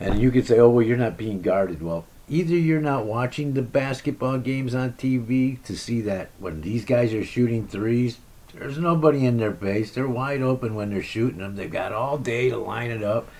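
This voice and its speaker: A man with a plain, everyday voice talks at a moderate pace and medium pitch, using lively intonation. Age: 60s. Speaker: basketball vlogger and amateur shooter. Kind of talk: casual monologue recap. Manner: rambling with frequent fillers and repetitions.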